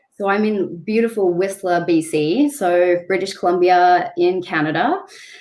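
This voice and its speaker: A woman speaks in an Australian accent at a moderate pace. Her medium pitch has ordinary pitch variation. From Australia, Sydney northern beaches. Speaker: travel blogger and photographer. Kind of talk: podcast interview.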